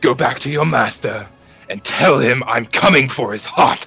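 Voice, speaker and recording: Shouting in a put-on character voice, a man of medium pitch sounds raspy and menacing, speaking at a moderate pace with ordinary pitch variation over faint music in the background. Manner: yelling, menacing.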